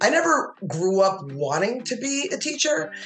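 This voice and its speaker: With lively intonation and a New Jersey accent, a woman speaks in a room with audible echo while music plays in the background. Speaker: educator. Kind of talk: interview conversation.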